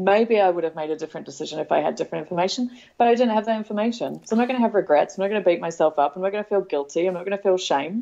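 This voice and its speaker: A woman with an Australian accent, a dark, mellow tone, medium pitch and ordinary pitch variation, at a very fast pace. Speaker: parenting blogger and author. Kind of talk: casual chat.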